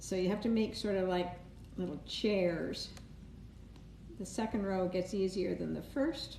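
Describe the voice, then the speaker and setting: A woman with a Canadian accent speaks at a medium pitch and fairly slow pace, with ordinary pitch variation, long, frequent pauses and audible room echo. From Canada, Toronto area. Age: 70s. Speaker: cake decorator. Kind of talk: live-stream tutorial. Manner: casual, chatty.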